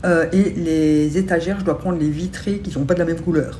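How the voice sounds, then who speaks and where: Over light background noise, a woman speaks at a moderate pace and fairly low pitch with ordinary pitch variation. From Belgium. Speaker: beauty and lifestyle vlogger; lifestyle vlogger. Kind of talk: casual vlog chat to camera. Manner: hesitant with many fillers. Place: home room. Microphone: phone near.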